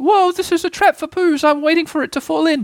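A man's put-on character voice, squeaky and extremely high-pitched, at a fairly quick pace. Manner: fast, unsettled.

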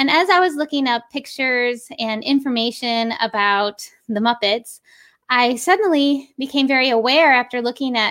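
At a moderate pace, a woman speaks with a high pitch and ordinary pitch variation, on a very clean recording with a silent background. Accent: American. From Western New York. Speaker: puppeteer. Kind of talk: interview.

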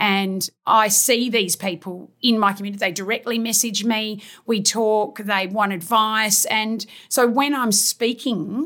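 Speaking at a fairly slow pace, a woman with an Australian accent has a bright, sharp tone. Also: very clean recording, silent background. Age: 50s. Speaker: fitness trainer. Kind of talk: casual interview.

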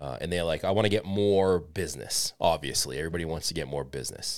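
On a very clean recording with a silent background, a man races along at a very fast pace in a very deep, low voice with vocal fry. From Boston, US. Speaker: podcast host. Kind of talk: casual interview chat.

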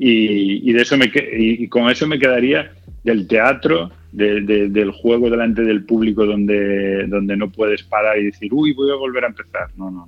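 At a moderate pace, a man speaks with a fairly low pitch, ordinary pitch variation, and big swings in loudness. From Galicia, Spain (Culleredo, near A Coruña). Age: 40s. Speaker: actor and comedian. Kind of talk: interview. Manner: halting, many repetitions.

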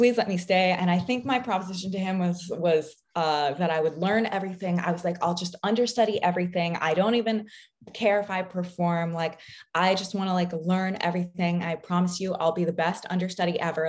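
A woman with an American accent in a plain, everyday voice, fairly low in pitch, with fairly even intonation at a fairly quick pace. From US Pacific Northwest. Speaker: professional ballet dancer. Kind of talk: casual interview.

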